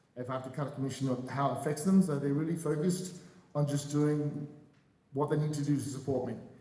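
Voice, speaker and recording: A man with an Australian accent, fairly high-pitched and very fast, with fairly even intonation, audible room echo and noticeable background noise. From Australia (Adelaide). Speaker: real estate broker. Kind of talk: panel discussion.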